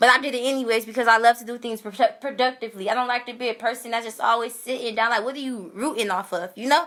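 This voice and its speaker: A woman's fairly high, bright, sharp voice, animated in tone and at a very fast pace. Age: 20s. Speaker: social media livestreamer. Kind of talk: testimony. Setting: livestream. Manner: loud.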